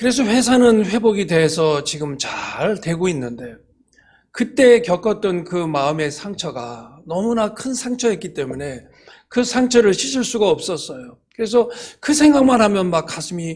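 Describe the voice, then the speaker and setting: Speaking at a fairly slow pace, a man uses a high pitch with very wide pitch swings and big swings in loudness. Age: 60s. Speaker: church elder and business owner. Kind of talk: testimony. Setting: church service. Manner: halting, many fillers.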